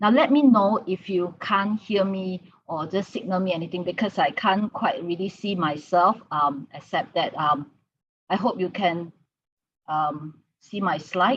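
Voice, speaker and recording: A woman talks at a fairly slow pace, somewhat breathy, at a medium pitch with ordinary pitch variation. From Sarawak, East Malaysia. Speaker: conference keynote speaker, academic. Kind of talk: conference presentation. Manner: halting, many fillers.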